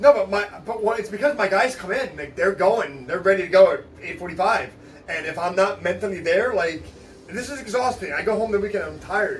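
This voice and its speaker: Over noticeable background noise, a man talks fairly quickly in a high, animated voice with big swings in loudness. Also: ordinary pitch variation. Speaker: special education teacher. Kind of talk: casual interview chat.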